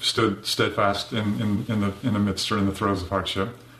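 Noticeable background noise sits behind the speaker. He is a man with a fairly low pitch. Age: 50s. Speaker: churchgoer sharing illness testimony. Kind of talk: testimony. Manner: halting, repeating words.

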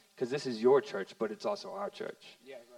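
This voice is a man's. Noticeable background noise comes through behind him. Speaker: youth minister, pastor's son. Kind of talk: panel testimony in church service.

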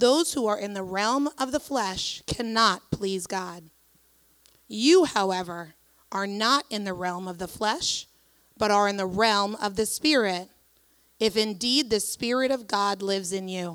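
Recorded very cleanly over a silent background, a woman with an ordinary speaking voice talks at a fairly slow pace and medium pitch with ordinary pitch variation. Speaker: scripture reader at church. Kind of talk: reading aloud. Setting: church.

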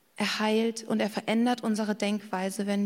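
Speaking at a moderate pace, a woman with a medium pitch sounds somewhat breathy and uses a monotone, flat intonation. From Bavaria, Garmisch-Partenkirchen. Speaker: preacher. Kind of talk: sermon.

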